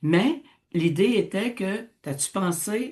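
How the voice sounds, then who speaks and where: A woman's somewhat breathy voice has an animated tone and lively intonation. The background is quiet. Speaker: radio host, teacher. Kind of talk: casual radio discussion.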